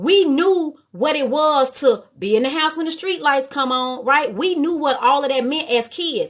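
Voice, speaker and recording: Loud and animated, a woman speaks with a high pitch and lively intonation. Her pace is fairly slow. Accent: American. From Chicago. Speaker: live stream host. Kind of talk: live stream chat.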